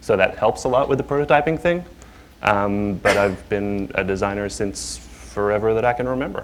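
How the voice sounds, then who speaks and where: Speaking in an Australian accent at a moderate pace, a man uses lively intonation and a fairly low pitch. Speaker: UI designer. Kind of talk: panel discussion.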